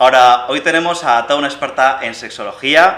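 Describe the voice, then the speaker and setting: Moderate pace, ordinary pitch variation and a Castilian accent, with noticeable background noise. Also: man. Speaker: podcast host. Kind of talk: show introduction; interview conversation.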